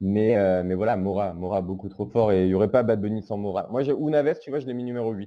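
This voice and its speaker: The voice has a dark, mellow tone at a fairly quick pace. There are hardly any pauses. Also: man, fairly low pitch for a man, ordinary pitch variation. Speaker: podcast host. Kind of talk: casual chat. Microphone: recorded on phone.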